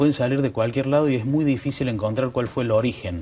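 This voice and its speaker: A man speaks fairly quickly with normal pitch movement as light noise sits in the background. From Córdoba, Argentina. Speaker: lawyer; guest. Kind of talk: TV panel discussion. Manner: halting. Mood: calm explanatory. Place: studio. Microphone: lapel.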